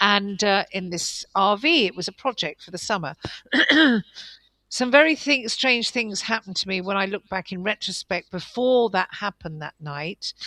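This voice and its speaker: In a southern English accent, a woman with a bright, sharp tone and lively intonation speaks at a moderate pace in a dry, close sound with no echo. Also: medium pitch for a woman. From England. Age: 60s. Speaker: guest interviewee. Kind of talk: interview. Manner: halting.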